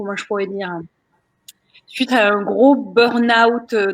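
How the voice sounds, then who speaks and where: A woman with a southern French accent. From southern France. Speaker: aromatherapy advisor and blogger. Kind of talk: casual interview. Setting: online live stream. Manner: hesitant, many fillers.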